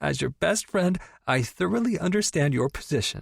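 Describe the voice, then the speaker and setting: A man's put-on character voice, squeaky and fairly high, with very wide pitch swings at a moderate pace. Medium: read story. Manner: excitable, squeaky, gushing.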